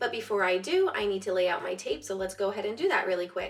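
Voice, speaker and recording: With music in the background, a woman of medium pitch talks at a fairly quick pace with ordinary pitch variation. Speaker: artist. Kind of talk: casual talk to camera.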